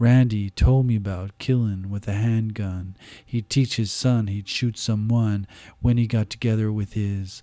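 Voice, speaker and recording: Over a very clean recording with a silent background, a man with a dark, mellow tone and fairly low pitch talks at a fairly slow pace in a flat monotone. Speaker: poet. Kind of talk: spoken-word poetry reading, rhythmic and incantatory with a repeated refrain. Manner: deliberate cadence, lingering on gritty list-like imagery; hesitant and conversational in the intro, with fillers.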